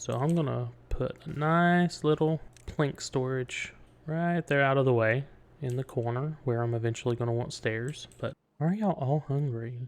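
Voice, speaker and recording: The speaker talks at a fairly slow pace with an East Tennessee accent. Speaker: gaming video creator. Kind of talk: let's play commentary. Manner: casual, thinking aloud.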